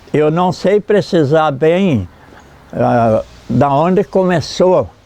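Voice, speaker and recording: Noticeable background noise sits behind a man's fairly high voice. He speaks at a very slow pace with lively intonation. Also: long, frequent pauses, very even loudness. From Santa Catarina, southern Brazil. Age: 80s+. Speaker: elderly local resident, former river raft worker. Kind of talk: interview testimony. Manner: halting, with repetitions.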